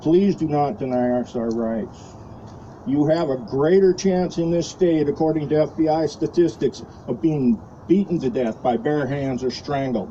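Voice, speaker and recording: This man has a fairly high pitch and a plain, everyday voice. He talks at a moderate pace. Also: ordinary pitch variation. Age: 60s. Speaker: retired army officer speaking at a rally. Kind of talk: impromptu rally speech.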